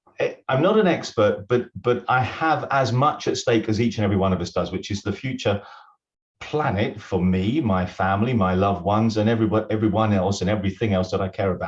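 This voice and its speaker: In a British accent, a man speaks at a fairly quick pace with a fairly low pitch, ordinary pitch variation and a somewhat breathy quality against a quiet background. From UK. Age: 60s. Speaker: retired accountant and business consultant. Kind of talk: webinar interview.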